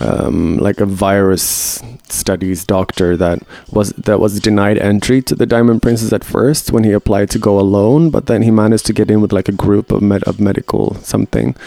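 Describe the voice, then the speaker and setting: A man speaks at a moderate pace with a fairly low pitch and very even loudness. His pitch varies in an ordinary way, and there is noticeable background noise. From Sweden. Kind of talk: casual chat.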